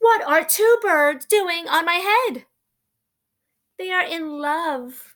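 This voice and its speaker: Using a put-on character voice pitched extremely high, a woman speaks at a very slow pace with long, frequent pauses. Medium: read story. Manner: anxious, fretful.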